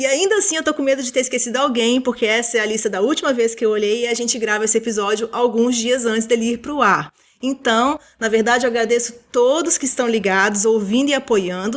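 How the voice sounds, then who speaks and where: A woman's high voice at a fairly quick pace, with ordinary pitch variation and hardly any pauses. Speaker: podcast co-host. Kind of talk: casual chat. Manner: fast.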